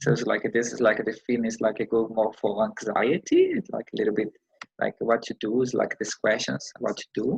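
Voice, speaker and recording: A man with a non-native accent at a fairly quick pace, his sound dry and close with no echo. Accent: foreign accent, self-described. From Brazil. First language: Portuguese. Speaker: counselling student. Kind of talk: counselling role-play. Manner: halting.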